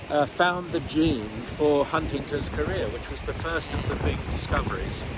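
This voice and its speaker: A man speaks in a British accent at a moderate pace. Noticeable background noise and audible room echo surround him. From England, London. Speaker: nephrologist and genetics researcher. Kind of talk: interview. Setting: outdoors on a pier.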